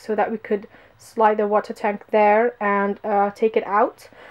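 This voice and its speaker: A woman with a non-native accent and fairly high pitch, at a moderate pace in a monotone, flat intonation. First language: not English. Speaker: vlogger. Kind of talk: casual vlog walkthrough. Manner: hesitant, many fillers.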